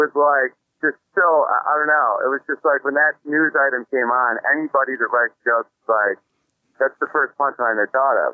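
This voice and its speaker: A normal speaking voice with an American accent moves along at a moderate pace. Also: man. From upstate New York. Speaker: stand-up comedian. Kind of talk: casual chat. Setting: phone call.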